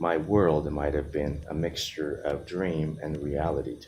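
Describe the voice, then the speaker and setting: Speaking with a Japanese accent, a man uses a very deep, low voice with vocal fry. His pace is fairly slow and his intonation fairly even. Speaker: vlogger. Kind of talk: personal monologue.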